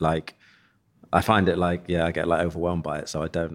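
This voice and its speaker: A man speaks at a very fast pace in an East Midlands accent. The recording is very clean, with a silent background. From East Midlands, England (Leicester). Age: 40s. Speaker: eyewear company founder. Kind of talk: casual interview chat.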